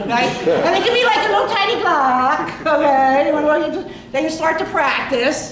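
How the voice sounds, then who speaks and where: A woman in a Philadelphia accent speaks in an animated tone with very wide pitch swings. Audible room echo and noticeable background noise are present. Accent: Philly accent, nasal. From Philadelphia area, Upper Darby. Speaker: comedian. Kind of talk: stand-up. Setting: stage with audience. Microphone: no microphone.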